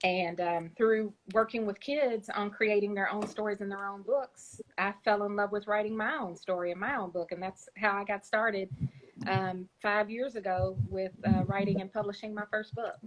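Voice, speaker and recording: This woman talks at a moderate pace and medium pitch. Her pitch variation is ordinary. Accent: Kentucky. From Kentucky. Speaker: children's book author. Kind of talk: interview. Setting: Instagram Live. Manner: hesitant, many fillers.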